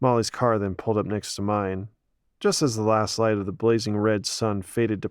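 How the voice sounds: Against a quiet background, the voice reads in a natural way.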